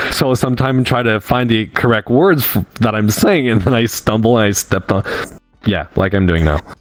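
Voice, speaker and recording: A man's medium-pitched voice at a fairly quick pace, very even in loudness, with ordinary pitch variation and music in the background. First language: not English. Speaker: podcast guest, furry community team member. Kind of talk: casual chat. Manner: halting, stumbling over words.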